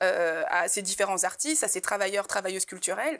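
A woman with a plain, everyday voice, moderate pace and lively intonation. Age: 20s. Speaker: activist and independent curator. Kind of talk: panel discussion.

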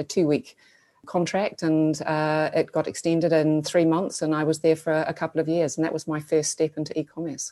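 A woman speaks with a New Zealand accent at a fairly quick pace. Her pitch is very deep and low, and her tone is dark and mellow. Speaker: digital agency co-founder. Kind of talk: interview conversation.

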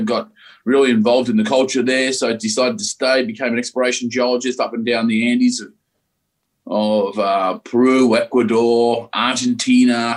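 Fairly even intonation from a man with an Australian accent, medium in pitch, at a fairly quick pace. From Australia, Victoria (Ballarat). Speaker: mining company CEO, geologist. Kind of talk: interview.

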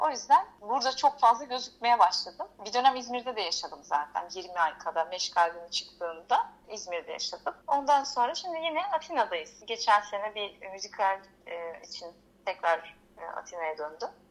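This woman talks at a moderate pace in a fairly high pitch. Her pitch swings very widely and her loudness rises and falls by big amounts. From Turkey, Izmir. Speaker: singer-songwriter. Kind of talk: radio interview, casual chat.

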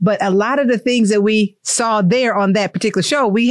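A woman's ordinary speaking voice at medium pitch, with ordinary pitch variation, a moderate pace and a quiet background. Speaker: podcast host. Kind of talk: casual interview chat.

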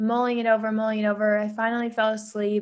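A woman's fairly high-pitched voice. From US West Coast, San Diego. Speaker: venture capital investor. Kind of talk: interview.

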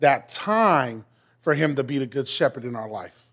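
A man's fairly high voice, moderate in pace, with lively intonation, in a very clean recording with a silent background. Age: 30s. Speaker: guest preacher. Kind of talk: sermon. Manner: halting.

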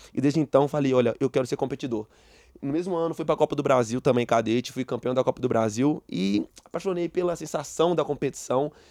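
A very fast man's voice with a Minas Gerais accent, fairly high in pitch with ordinary variation, dark and mellow in tone, dry and close with no echo, over a quiet background. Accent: Brazilian Portuguese, mineiro. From Brazil, Belo Horizonte (Minas Gerais). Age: 20s. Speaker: taekwondo athlete. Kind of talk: interview.

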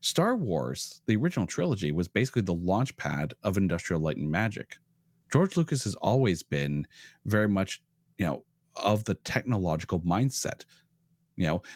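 In a plain, everyday voice, a man with a Canadian accent speaks at a fairly low pitch with lively intonation, recorded very cleanly against silence. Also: moderate pace. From Ontario, Canada (Ottawa). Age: 40s. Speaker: podcaster and musician. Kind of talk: casual chat.

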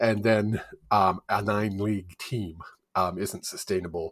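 A man with a Western Canadian accent, on a very clean recording with a silent background. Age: 50s. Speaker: sports podcast co-host. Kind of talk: casual chat. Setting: studio. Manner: animated.

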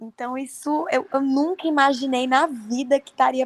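A woman speaks with a high pitch in a Paraíba accent. The sound is dry and close, with no echo. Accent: Paraíba accent, noticeable. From Paraíba, Northeast Brazil. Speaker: actress. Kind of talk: interview.

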